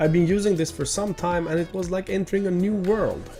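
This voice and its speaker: A man speaks with a Swedish accent. Music plays in the background. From Sweden. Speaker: PC hardware YouTuber. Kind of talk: PC tour talk to camera. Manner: upbeat.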